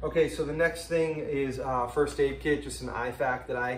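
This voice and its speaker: At a moderate pace, a man talks amid noticeable background noise and audible room echo. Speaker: outdoor gear vlogger. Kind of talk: casual gear walkthrough vlog. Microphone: built-in camera mic, no external microphone.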